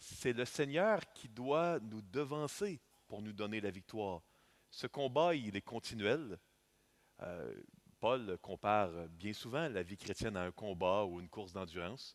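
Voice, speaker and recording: A man with a Canadian French accent speaks very slowly in a fairly low pitch, his intonation lively. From Canada. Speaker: visiting preacher. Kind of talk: sermon. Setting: church. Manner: halting with frequent fillers.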